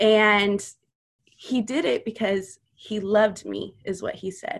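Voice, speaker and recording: This woman has an American accent, a medium pitch and noticeable vocal fry. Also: very clean recording, silent background. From US South, Louisiana and Missouri. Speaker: mother sharing her faith testimony. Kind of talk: testimony.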